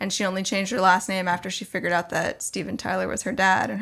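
A woman with an American accent talks at a very fast pace, with vocal fry and fairly even intonation. The recording is very clean, with a silent background. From Arizona, Tucson. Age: 30s. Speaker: talent agent. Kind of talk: casual chat.

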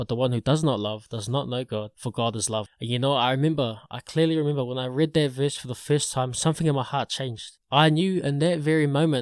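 In a New Zealand accent, a man talks at a very fast pace with medium pitch and ordinary pitch variation, in a dry, close sound with no echo on a very clean recording with a silent background. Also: hardly any pauses. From New Zealand, Porirua area. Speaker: podcaster. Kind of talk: testimony. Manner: casual, halting with repeated words.

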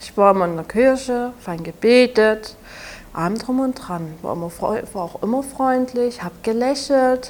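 A woman with a Saxon accent and a high pitch speaks at a fairly slow pace with lively intonation over noticeable background noise. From Saxony, Germany. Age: 20s. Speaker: abuse survivor and podcaster. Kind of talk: interview testimony. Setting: café.

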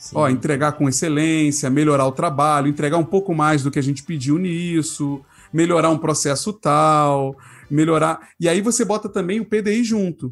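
A man's fairly high voice, an ordinary speaking voice, at a moderate pace with ordinary pitch variation and very even loudness, on a very clean recording with a silent background. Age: 30s. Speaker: product designer and design leader. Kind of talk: casual chat.

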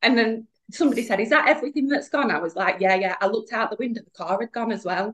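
Lively intonation at a very fast pace from a woman with a northern English accent and a fairly high pitch. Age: 30s. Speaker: podcast guest, alcohol-free business owner. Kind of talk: casual chat.

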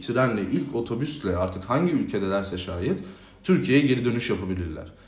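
A man's medium-pitched voice with lively intonation and audible room echo. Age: 20s. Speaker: youth organization president. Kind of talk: interview. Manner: hesitant with frequent filler sounds.

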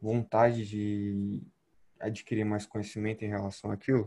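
In a Brazilian accent, a man talks with fairly low pitch, a dark, mellow tone and monotone, flat intonation against a quiet background. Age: young. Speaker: physical education student and gym intern. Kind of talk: casual chat.

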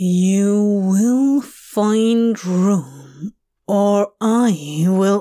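A female-sounding voice at medium pitch, growling in a put-on character voice. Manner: menacing, growling.

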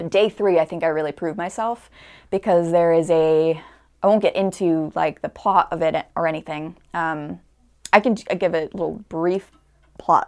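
A woman with an American accent uses an ordinary speaking voice, fairly low in pitch and fairly even in intonation, at a moderate pace against a quiet background. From Connecticut. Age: 20s. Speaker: actor. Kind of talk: casual interview chat.

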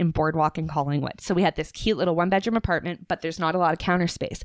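Her fairly low-pitched voice rushes along at a very fast pace with hardly any pauses. The woman's tone is animated, in a dry, close sound with no echo. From Atlantic Canada. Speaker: podcast guest. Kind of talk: casual chat. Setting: home in the woods.

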